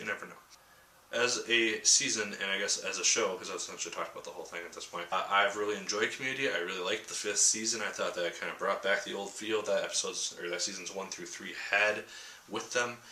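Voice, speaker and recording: A man talks at a very fast pace. There is noticeable background noise and audible room echo. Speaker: TV show reviewer. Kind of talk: video review monologue.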